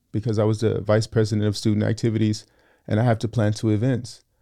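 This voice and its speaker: A man with an American accent speaks in a fairly low pitch with a dark, mellow tone against a quiet background. His intonation is monotone and flat. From Southern California (San Fernando Valley). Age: 30s. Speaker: engineering student. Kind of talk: casual interview chat.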